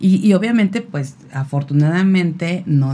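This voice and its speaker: A woman with a dark, mellow, somewhat breathy tone, ordinary pitch variation and a very slow pace. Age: 50s. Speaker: radio magazine creator and mother. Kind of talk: casual chat.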